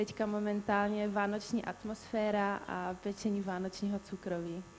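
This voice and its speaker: Monotone, flat intonation at a moderate pace, with a Czech accent. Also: woman, medium pitch for a woman. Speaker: beauty pageant contestant. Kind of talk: live Q&A answer.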